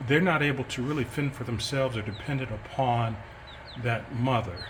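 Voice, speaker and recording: Room echo is audible and background noise noticeable as a man talks. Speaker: chicken keeper and educator. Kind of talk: casual explainer video. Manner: hesitant, many fillers.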